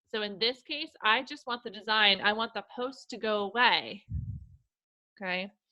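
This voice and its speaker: This is a woman with a normal speaking voice, fairly high in pitch. She uses ordinary pitch variation at a moderate pace. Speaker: educational technology trainer for teachers. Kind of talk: webinar tutorial. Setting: online webinar.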